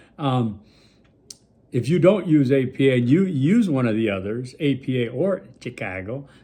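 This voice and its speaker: In an American accent, a dark, mellow voice carries lively intonation through audible room echo. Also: man. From Milwaukee, US Midwest. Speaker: college instructor. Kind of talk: recorded lecture video for students. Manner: casual, conversational with fillers.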